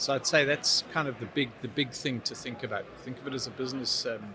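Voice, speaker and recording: Someone with a southern African accent speaks at a fairly quick pace over noticeable background noise. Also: man. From Zimbabwe. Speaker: technology business expert. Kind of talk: interview. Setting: trade event.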